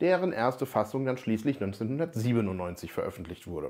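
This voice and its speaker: Against a quiet background, the voice moves at a moderate pace with very wide pitch swings. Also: man. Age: 40s. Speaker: software developer and tech educator; tech educator. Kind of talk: tech explainer video. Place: office. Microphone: lapel.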